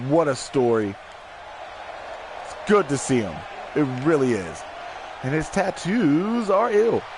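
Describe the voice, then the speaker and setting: A man speaking fairly slowly with very wide pitch swings, over noticeable background noise. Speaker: wrestling commentator. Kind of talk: live commentary. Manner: loud.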